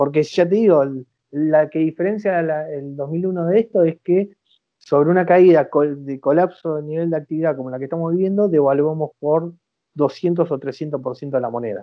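The pace is moderate and the pitch variation ordinary in a normal speaking voice. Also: man, fairly high pitch for a man. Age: 40s. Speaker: economist. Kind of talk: interview.

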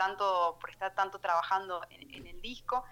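A woman talks at a fairly slow pace in a medium pitch. Her tone is bright and sharp, with fairly even intonation. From Argentina, Catamarca (Valle Viejo). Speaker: singer-songwriter. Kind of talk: radio interview.

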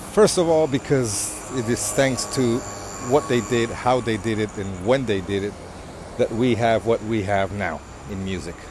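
The fairly slow speech has ordinary pitch variation, with noticeable background noise behind it. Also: man, medium pitch for a man. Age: 50s. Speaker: podcast host. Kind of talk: casual monologue. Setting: home. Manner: halting.

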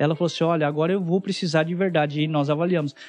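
This man has an ordinary speaking voice, delivered with fairly even intonation. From interior of São Paulo state, Brazil. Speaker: startup mentor and investor. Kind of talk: podcast interview.

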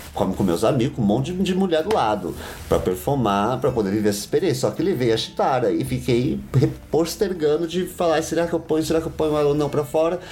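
Over noticeable background noise, a man with a fairly high voice talks very fast with lively intonation and very even loudness. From São Paulo, Brazil. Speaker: drag performer. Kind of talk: interview conversation.

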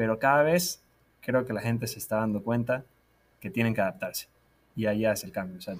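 A man's medium-pitched voice moves along fairly quickly, its pitch rising and falling in an ordinary way. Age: 20s. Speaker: digital marketing school director. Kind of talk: interview.

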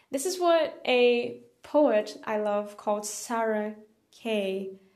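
Audible room echo surrounds a woman whose fairly high pitch carries lively intonation. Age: 20s. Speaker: poetry podcaster and online language teacher. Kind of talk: casual monologue. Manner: casual, hesitant with frequent fillers.

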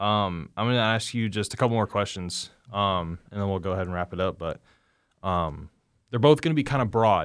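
A man's unremarkable speaking voice, fairly low in pitch, with an American accent, a fairly quick pace and ordinary pitch variation, on a very clean recording with a silent background. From Indianapolis, Indiana, US Midwest. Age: 20s. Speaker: college football player and podcast host. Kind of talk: interview conversation.

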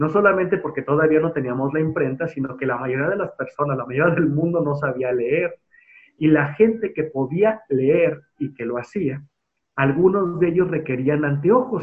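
A man speaks at a moderate pace in an ordinary speaking voice, fairly high in pitch, with ordinary pitch variation. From Mexico, Guadalajara. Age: 30s. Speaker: museum director. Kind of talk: interview.

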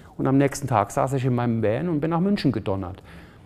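This man speaks at a medium pitch. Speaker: photographer and charity founder. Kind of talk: interview. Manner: halting, many fillers.

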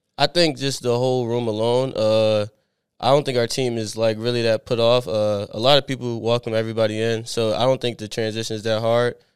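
Using a plain, everyday voice with an American accent, a man speaks at a medium pitch and a fairly quick pace with fairly even intonation, in a very clean recording with a silent background. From Pennsylvania, Philadelphia area. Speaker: college football player. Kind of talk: casual interview.

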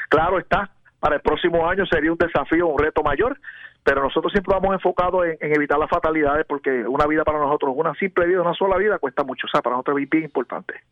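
Very rapid delivery from a man, his voice fairly high for a man, with ordinary pitch variation. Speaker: police lieutenant. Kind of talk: radio interview.

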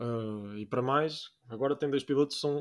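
Talking at a fairly slow pace in a European Portuguese accent, a man uses a fairly high pitch with ordinary variation. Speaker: podcast host. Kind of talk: casual chat. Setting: recording at night.

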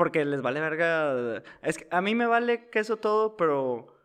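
Against a quiet background, a man with an unremarkable speaking voice talks at a moderate pace, fairly high in pitch with lively intonation. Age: 20s. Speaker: podcast co-host. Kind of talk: casual chat. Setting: studio.

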